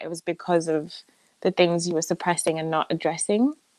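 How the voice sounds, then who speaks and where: A woman speaks with an English accent. The sound is dry and close, with no echo. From England. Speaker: musical theatre performer. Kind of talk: interview answer.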